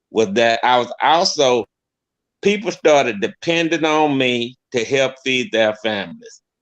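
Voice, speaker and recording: Against a quiet background, an unremarkable speaking voice carries lively intonation. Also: man. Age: 60s. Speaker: business owner, guest on podcast. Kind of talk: casual chat.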